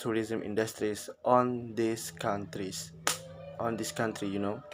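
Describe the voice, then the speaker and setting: A man with an Indonesian accent talks at a medium pitch in a monotone, flat intonation. The room echo is audible, and music plays in the background. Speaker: university student. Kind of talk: class assignment presentation. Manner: halting.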